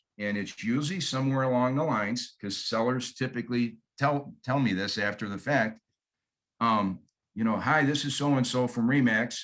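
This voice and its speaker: This man has a Michigan accent and a medium pitch. He talks at a moderate pace with ordinary pitch variation. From Michigan, US Midwest. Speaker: real estate agent. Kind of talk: training presentation.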